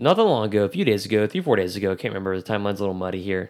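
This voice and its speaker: A man at a very fast pace, fairly low in pitch. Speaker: sports podcast host. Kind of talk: casual chat.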